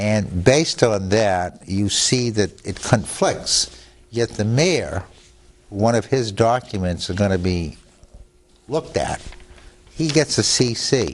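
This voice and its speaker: The speech moves at a very slow pace with long, frequent pauses and lively intonation over noticeable background noise. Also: man, fairly low pitch for a man. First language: Italian. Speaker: attorney. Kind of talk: TV interview. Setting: studio.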